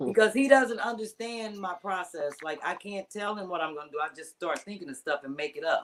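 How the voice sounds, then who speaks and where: A woman speaks at a medium pitch and a fairly quick pace. Her tone is animated, with big swings in loudness. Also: lively intonation. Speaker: comedian. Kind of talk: casual chat.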